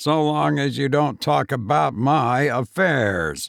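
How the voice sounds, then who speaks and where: A man uses a put-on character voice, raspy and medium in pitch, speaking at a fairly slow pace with very wide pitch swings, recorded very cleanly against a silent background with a dry, close sound and no echo. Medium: read story. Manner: blunt, curt.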